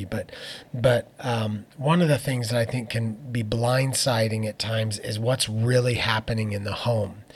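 A man with an American accent talks at a moderate pace and medium pitch, sounding somewhat breathy. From Phoenix, Arizona. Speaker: worship leader and pastor. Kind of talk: interview conversation. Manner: hesitant with fillers.

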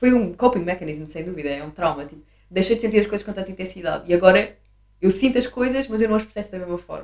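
A woman's medium-pitched voice at a very fast pace, with big swings in loudness and ordinary pitch variation. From Portugal, Sintra (Lisbon area). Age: 20s. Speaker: graphic designer and DJ. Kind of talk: casual chat.

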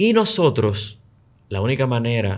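Speaking at a fairly slow pace, a man sounds somewhat breathy at a medium pitch. The recording is very clean, with a silent background. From Dominican Republic, Luperón, Puerto Plata. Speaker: tech and tourism entrepreneur. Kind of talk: casual chat.

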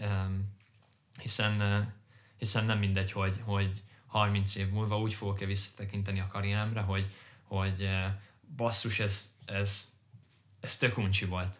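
A fairly low-pitched, somewhat breathy man speaking in a monotone, flat intonation at a fairly slow pace, with long, frequent pauses. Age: 20s. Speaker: podcast co-host, corporate finance employee. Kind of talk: casual chat.

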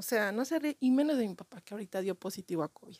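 This woman's intonation is lively and her pace fairly quick. The sound is dry and close, with no echo. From Mexico City. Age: 40s. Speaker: comedian. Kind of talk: comedic monologue.

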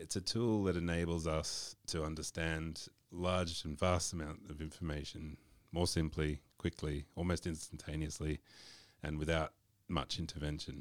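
In an Australian accent, a man with a very deep, low pitch speaks at a moderate pace in a monotone, flat intonation. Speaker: marketing podcast co-host. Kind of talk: casual chat.

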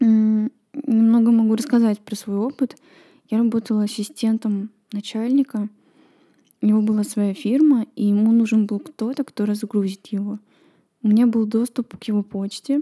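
A woman with a fairly high pitch and a dark, mellow tone speaks at a moderate pace, somewhat breathy and with fairly even intonation. Long, frequent pauses break up her speech, and the sound is dry and close with no echo. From Estonia, Kohtla-Järve. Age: 20s. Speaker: podcaster. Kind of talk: personal monologue.

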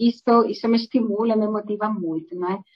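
Someone with a Spanish accent speaks at a moderate pace. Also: woman. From southwest Spain. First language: Spanish (speaking Portuguese). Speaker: pharmaceutical executive. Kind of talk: interview. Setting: online live stream.

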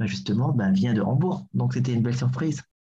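A man with a medium pitch talks fairly quickly, his somewhat breathy voice dark and mellow in tone, with ordinary pitch variation. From Burundi, Bujumbura. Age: 30s. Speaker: actor and theatre director. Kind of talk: casual interview. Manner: hesitant, many fillers.

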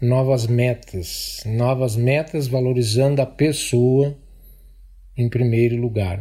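Somewhat breathy and dark, mellow in tone, a man talks at medium pitch with ordinary pitch variation. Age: 60s. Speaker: police officer. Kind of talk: testimony.

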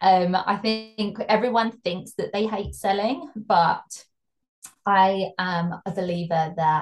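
A woman with a British accent and a medium pitch speaks at a very slow pace with ordinary pitch variation. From UK. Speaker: fashion brand consultant. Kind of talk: interview.

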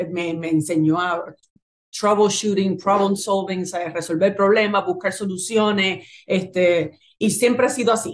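A woman speaks in a normal speaking voice at a medium pitch. Her pace is fairly slow. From Puerto Rico, Naranjito and Bayamón. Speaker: clothing business founder. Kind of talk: interview.

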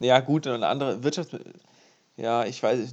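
At a fairly quick pace, a man with an unremarkable speaking voice talks at medium pitch with fairly even intonation. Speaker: podcast co-host, university student. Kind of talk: casual chat.

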